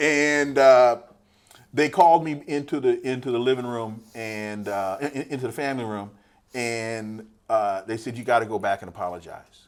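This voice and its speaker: In an ordinary speaking voice, a man talks at a moderate pace with ordinary pitch variation and big swings in loudness, recorded very cleanly against a silent background. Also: medium pitch for a man. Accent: American. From California, Sacramento. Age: 60s. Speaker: political scientist. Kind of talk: interview.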